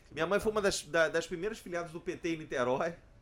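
An animated man at a fairly high pitch with ordinary pitch variation, on a very clean recording with a silent background. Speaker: labour lawyer. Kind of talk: casual chat. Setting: bar table.

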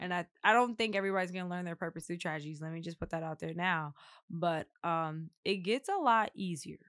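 Against a quiet background, a woman with a normal speaking voice talks at a fairly quick pace, her pitch fairly low with ordinary variation. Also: dry, close sound with no echo. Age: 20s. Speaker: podcast host and growth coach. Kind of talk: casual chat. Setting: studio.

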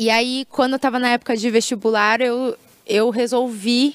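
A woman with a high voice speaks at a fairly slow pace in a dry, close sound with no echo. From Brazil, Maringá (Paraná). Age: 20s. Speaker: singer and singing teacher. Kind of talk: casual interview.

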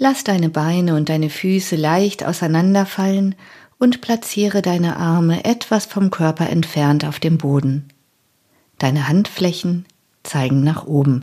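In a very clean recording with a silent background, a woman with a fairly low pitch talks at a fairly slow pace in a dark, mellow, calm, soothing tone with ordinary pitch variation. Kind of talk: guided meditation (yoga nidra). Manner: slow, calm, soothing, with long pauses; soft, gentle and unhurried.

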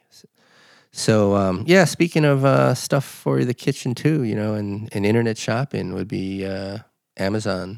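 On a very clean recording with a silent background, a man with a fairly low pitch uses an unremarkable speaking voice, lively intonation, a moderate pace and big swings in loudness. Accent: American. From Los Angeles. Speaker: podcast host. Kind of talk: casual chat.

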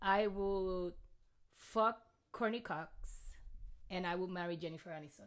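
A woman with a Puerto Rican accent and a medium pitch speaks at a fairly slow pace, with long, frequent pauses. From Puerto Rico. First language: Spanish. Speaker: comedian. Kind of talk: casual chat. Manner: excitable.

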